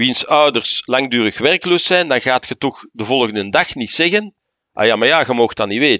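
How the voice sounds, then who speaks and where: A man speaks with a Flemish accent. His intonation is lively and his pace fairly slow. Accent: Flemish Dutch. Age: 60s. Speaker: senior civil servant. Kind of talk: interview.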